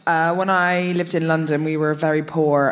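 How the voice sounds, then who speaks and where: Audible room echo surrounds a woman speaking at a very deep, low pitch. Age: 30s. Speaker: comedian. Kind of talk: live comedy podcast banter. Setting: stage with audience.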